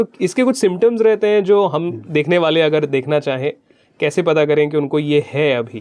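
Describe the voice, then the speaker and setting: Intonation here is lively. It comes in an ordinary speaking voice. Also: man, fairly high pitch for a man. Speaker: radio jockey. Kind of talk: radio interview host questions.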